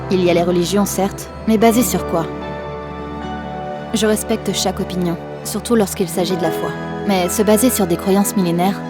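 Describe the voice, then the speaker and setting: Fairly quick female speech broken by long, frequent pauses, with music in the background. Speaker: voice-over actress, dubbing actress and nursery rhyme singer. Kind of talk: reflective monologue to camera about the meaning of life.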